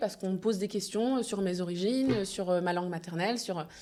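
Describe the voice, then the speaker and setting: A woman with a medium pitch and a dark, mellow tone talks at a fairly quick pace with ordinary pitch variation, on a very clean recording with a silent background. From France, Normandy (Le Havre). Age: 30s. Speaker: event agency founder. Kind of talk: podcast interview. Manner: hesitant, many fillers.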